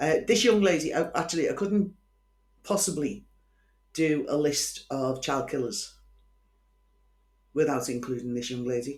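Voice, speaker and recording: Long, frequent pauses break up a woman's moderate pace as she speaks at a very deep, low pitch with lively intonation in a Liverpool accent. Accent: Scouse. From Liverpool, England. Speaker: true crime podcaster. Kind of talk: casual storytelling monologue. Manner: chatty, informal.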